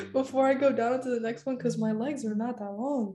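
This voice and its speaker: Noticeable background noise sits behind this woman's voice. She speaks at a moderate pace in a high pitch, with ordinary pitch variation. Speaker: college student. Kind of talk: casual chat.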